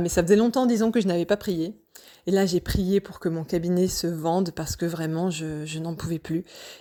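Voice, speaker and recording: The woman's tone is dark and mellow, her pitch medium with ordinary variation. She keeps a moderate pace in a very clean recording with a silent background. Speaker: personal vlogger sharing wellbeing journey. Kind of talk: personal testimony, casual monologue. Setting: home, evening audio recording. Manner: hesitant, many fillers.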